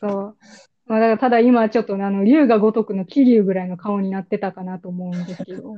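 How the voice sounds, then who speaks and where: An unremarkable speaking voice from a woman, medium in pitch, with fairly even intonation and big swings in loudness. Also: fairly quick pace. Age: 20s. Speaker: podcast host. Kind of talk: casual chat.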